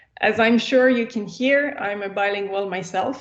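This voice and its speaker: A woman with a French accent speaks at a fairly slow pace. Her pitch is fairly high and shifts with ordinary variation. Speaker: researcher and lecturer. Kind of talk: lecture. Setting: video call.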